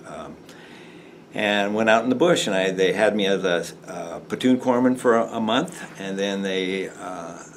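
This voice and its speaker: Noticeable background noise sits behind a voice with big swings in loudness and ordinary pitch variation. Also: man, fairly low pitch for a man, fairly slow pace. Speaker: Vietnam war veteran, navy corpsman. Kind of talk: interview answer.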